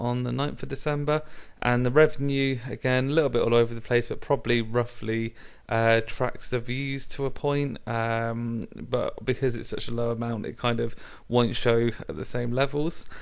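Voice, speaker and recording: A man with a British accent talks at a moderate pace. His pitch is medium and his intonation fairly even. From Britain. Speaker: YouTuber. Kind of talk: tutorial. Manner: hesitant, many fillers.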